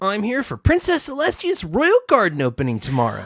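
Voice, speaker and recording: A man puts on a character voice, high in pitch, and talks at a fairly quick pace. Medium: game stream. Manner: casual, brash, tomboyish.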